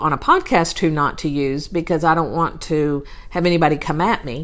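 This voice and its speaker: Speaking with a Texas accent, a woman keeps a moderate pace and fairly even intonation. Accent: southern US (Texas). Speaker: podcast host, real estate virtual assistant. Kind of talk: solo podcast monologue, advice talk. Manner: casual, with frequent fillers.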